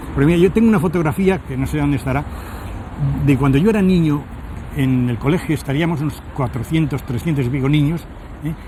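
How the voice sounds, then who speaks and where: Over noticeable background noise, a man with a fairly high pitch and ordinary pitch variation talks very fast, broken by long, frequent pauses. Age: 70s. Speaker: Dominican friar and preacher. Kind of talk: interview. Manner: halting.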